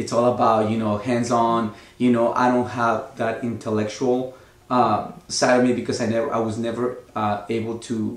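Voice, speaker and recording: Speaking with a Mexican accent, a man keeps a medium pitch and monotone, flat intonation at a moderate pace, with audible room echo. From Mexico, Oaxaca. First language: Spanish. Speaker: actor. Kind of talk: interview. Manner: hesitant, many fillers.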